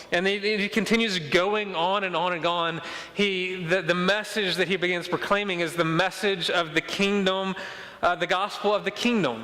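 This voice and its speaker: A man's high, raised and projected voice in a Mississippi accent, with fairly even intonation over noticeable background noise. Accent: Mississippi Southern accent, noticeable. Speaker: pastor. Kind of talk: sermon. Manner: fast; repetitive stammering restarts.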